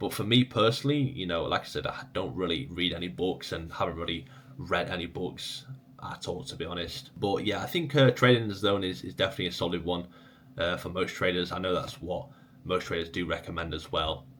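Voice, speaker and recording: Lively intonation and a fairly quick pace mark this man's very deep, low voice. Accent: English. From England. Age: 20s. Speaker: trading educator. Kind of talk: casual Q&A video. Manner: casual, conversational.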